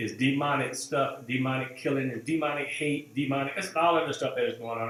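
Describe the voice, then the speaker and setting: A man at a moderate pace, with audible room echo. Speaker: pastor. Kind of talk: church announcements to online viewers. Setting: live stream. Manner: halting, many fillers.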